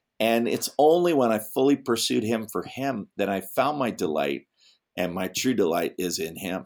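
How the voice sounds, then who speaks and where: A man with a fairly low pitch and vocal fry speaks at a moderate pace, his pitch swinging very widely. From England. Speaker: pastor and former comedian. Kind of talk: interview. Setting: remote call. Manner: animated.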